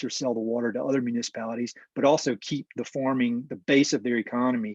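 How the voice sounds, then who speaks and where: Recorded with a dry, close sound and no echo, a man speaks with a Southern US accent at a medium pitch. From North Carolina. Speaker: land conservation professional. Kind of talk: webinar presentation. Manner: hesitant with repetitions.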